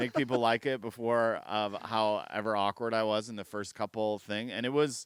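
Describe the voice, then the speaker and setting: An ordinary speaking voice from a man with an American accent, medium in pitch, fairly even in intonation and moderate in pace, dry and close with no echo. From US Midwest. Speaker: comedian. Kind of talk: casual chat.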